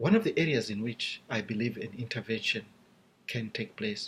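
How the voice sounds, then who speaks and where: A man speaks with a Zimbabwean accent. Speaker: seminary student. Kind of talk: class video presentation. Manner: formal.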